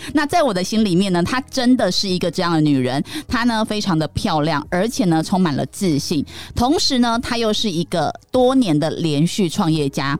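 A woman at medium pitch and moderate pace, with very wide pitch swings. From Taiwan, Taichung. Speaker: podcast host and image consultant. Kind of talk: casual chat.

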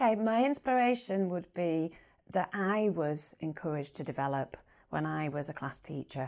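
On a very clean recording with a silent background, a woman with a Yorkshire accent speaks at a fairly low pitch with very wide pitch swings. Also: moderate pace. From northern England, Bradford area, West Yorkshire. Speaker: primary school head teacher. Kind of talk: interview.

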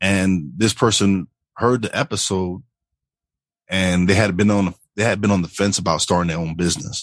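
A man's very deep, low voice comes through at a moderate pace, the background quiet. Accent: New York. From New York. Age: 40s. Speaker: podcast host. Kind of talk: casual interview chat.

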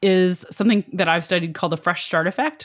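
A woman talks in an unremarkable speaking voice. The recording is very clean, with a silent background. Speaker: professor and behavioral scientist. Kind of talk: interview.

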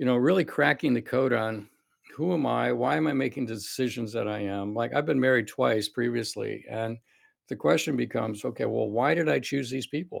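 Speaking at a fairly quick pace, a man uses lively intonation and shows vocal fry. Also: medium pitch for a man. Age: 60s. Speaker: cardiologist and longevity clinic founder. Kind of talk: interview conversation.

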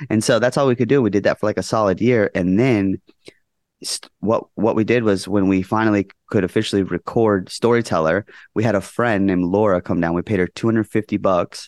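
Against a quiet background, a man speaks in a normal speaking voice, fairly low in pitch and fairly quick, with fairly even intonation, very even loudness and a dry, close sound with no echo. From Las Vegas area, Nevada. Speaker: rock band vocalist. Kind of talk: casual interview chat. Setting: video call.

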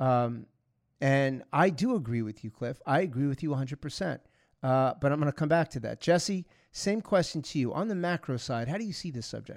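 In an American accent, a man with a plain, everyday voice speaks at a moderate pace and a fairly high pitch. His intonation is lively, and the recording is very clean with a silent background. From New York (Long Island, Bronx). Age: 50s. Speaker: security expert and podcast host. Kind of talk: casual interview.

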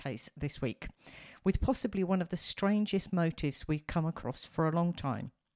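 Here is an ordinary speaking voice: a woman of medium pitch with lively intonation. The recording is very clean, with a silent background and a dry, close sound with no echo. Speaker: true crime podcast host. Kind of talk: scripted narration of a crime case with casual chat.

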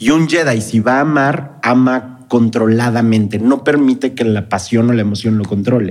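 With an unremarkable speaking voice, a man talks at a moderate pace in a medium pitch, with ordinary pitch variation, very even loudness and hardly any pauses. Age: 30s. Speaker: Star Wars expert and Jedi academy founder. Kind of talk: casual chat.

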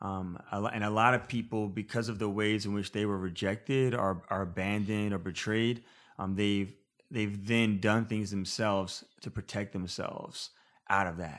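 This man has an unremarkable speaking voice, pitched fairly low. He speaks at a moderate pace with fairly even intonation. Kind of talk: casual interview chat. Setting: in person.

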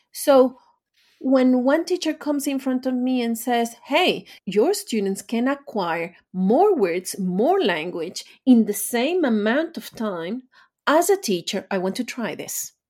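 Speaking very slowly, a woman uses a high voice with very wide pitch swings. She has a Spanish accent. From Venezuela. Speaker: language teacher and author. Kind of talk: interview.

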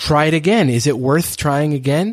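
Ordinary pitch variation at a fairly slow pace, in a very clean recording with a silent background and a dry, close sound with no echo. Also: man. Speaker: creative coach podcast host. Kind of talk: interview, answering questions. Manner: soft-spoken, gentle.

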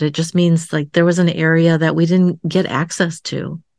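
A woman speaks at a moderate pace in a fairly low pitch, a plain, everyday voice. The sound is dry and close with no echo, against a quiet background. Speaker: psychotherapist and coach. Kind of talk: interview storytelling.

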